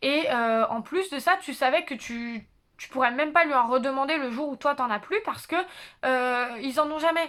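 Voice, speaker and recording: Loud and high-pitched, a woman talks at a moderate pace with a bright, sharp tone and ordinary pitch variation over a very clean recording with a silent background. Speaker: YouTuber, psychology student. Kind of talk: casual vlog monologue. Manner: hesitant, many fillers.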